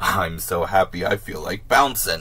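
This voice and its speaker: Over clear background noise, a man puts on a raspy character voice. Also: moderate pace. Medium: read story. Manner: exuberant, boastful.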